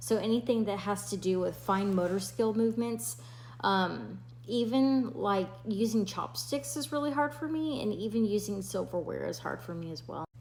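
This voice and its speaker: A woman mumbles at a medium pitch, somewhat breathy, her pitch swinging very widely. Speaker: nurse sharing health experience. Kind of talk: personal health vlog. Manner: mumbling, slurred speech; hesitant, many fillers.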